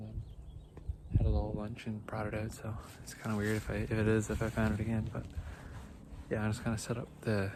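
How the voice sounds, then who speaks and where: Talking fairly quickly, the man is heard with audible echo from the room. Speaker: outdoor vlogger. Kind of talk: casual vlog narration. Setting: outdoors in the woods. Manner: soft-spoken.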